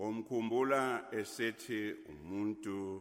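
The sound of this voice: Speaking at a slow pace, a man uses a fairly low pitch. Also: ordinary pitch variation.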